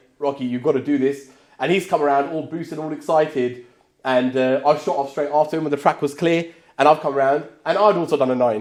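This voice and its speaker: A man speaks at a very fast pace, his pitch fairly high. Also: fairly even intonation. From southern England. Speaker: car racing podcast host. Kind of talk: casual chat.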